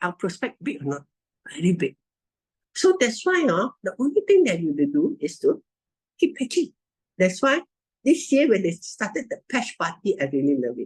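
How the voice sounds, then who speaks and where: In a Malaysian accent, a woman with a high pitch talks at a moderate pace in an animated tone, her pitch swinging very widely and her speech broken by long, frequent pauses. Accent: Malaysian English (Manglish). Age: 70s. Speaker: network marketing distributor. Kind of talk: testimony. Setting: video call.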